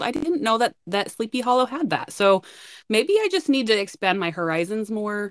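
In a plain, everyday voice, a woman speaks at a moderate pace, the sound dry and close with no echo. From northern Utah. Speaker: podcast co-host. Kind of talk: casual chat.

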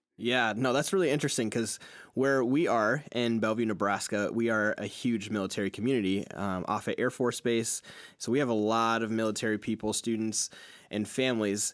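A man talks in a normal speaking voice at medium pitch and a fairly quick pace. His intonation is fairly even, his loudness very even, and the recording very clean with a silent background. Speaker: podcast host. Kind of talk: interview, casual conversation.

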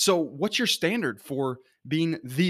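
On a very clean recording with a silent background, a man with a fairly high pitch and lively intonation has an unremarkable speaking voice. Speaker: motivational speaker. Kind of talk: pep talk. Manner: earnest, encouraging; direct, rallying.

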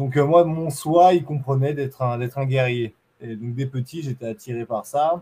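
The voice is somewhat breathy, with a dark, mellow tone. It moves at a fairly slow pace with ordinary pitch variation. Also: man. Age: 30s. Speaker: Muay Thai champion and long-distance runner. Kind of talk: interview conversation.

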